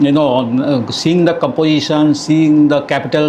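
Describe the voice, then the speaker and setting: Amid noticeable background noise and audible room echo, a man speaks at a fairly high pitch with fairly even intonation. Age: 70s. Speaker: university registrar, former banker. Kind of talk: podcast interview.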